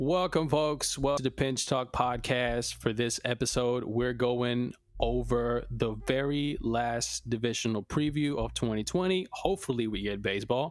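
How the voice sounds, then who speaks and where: With a slight Spanish accent, a man speaks with hardly any pauses and ordinary pitch variation. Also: medium pitch for a man, moderate pace. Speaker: sports podcast co-host. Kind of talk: casual chat.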